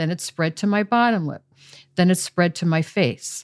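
A normal speaking voice from a woman at medium pitch and moderate pace, with ordinary pitch variation and a dry, close sound with no echo. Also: very clean recording, silent background. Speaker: patient advocate, former pharmaceutical executive. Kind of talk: interview.

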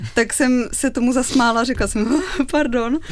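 An unremarkable speaking voice with ordinary pitch variation, at a moderate pace. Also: woman. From Czech Republic, Olomouc. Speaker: cellist in a string quartet. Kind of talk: radio interview.

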